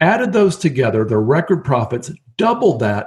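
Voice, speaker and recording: A man with an American accent talks at a fairly slow pace and fairly high pitch, his pitch swinging very widely. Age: 50s. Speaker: real estate investor. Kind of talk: interview.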